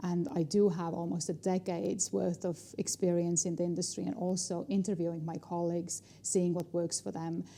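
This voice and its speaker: In an Estonian accent, a woman with a dark, mellow tone and fairly low pitch talks at a moderate pace, fairly even in intonation and with hardly any pauses. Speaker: negotiation trainer and speaker. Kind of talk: interview.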